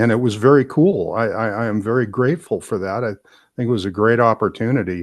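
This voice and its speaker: Speaking at a very fast pace, a man uses an American accent. His pitch is medium, with ordinary variation. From Southern California. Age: 70s. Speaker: retired aerospace program manager. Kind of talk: interview, casual conversation. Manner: halting, many fillers and repeats.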